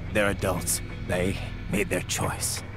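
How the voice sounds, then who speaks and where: A man performs a put-on character voice over loud background music. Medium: machinima. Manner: terse, firm.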